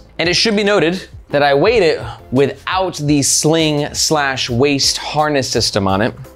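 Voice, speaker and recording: A man's voice with faint music in the background. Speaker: product reviewer. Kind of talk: product review commentary. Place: studio. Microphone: lapel.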